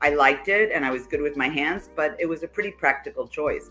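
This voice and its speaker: Music sounds in the background as a woman speaks in a New York accent. Her pitch is fairly low and her pace fairly quick. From New York City. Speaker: life coach. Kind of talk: interview.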